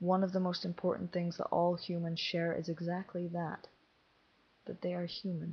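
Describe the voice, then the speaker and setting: Somewhat breathy and fairly low-pitched, a woman speaks at a moderate pace. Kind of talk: essay reading. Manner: measured, formal address.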